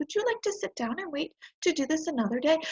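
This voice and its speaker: Putting on a squeaky character voice, a woman talks very fast at an extremely high pitch with very wide pitch swings. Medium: read story. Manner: patient, kindly.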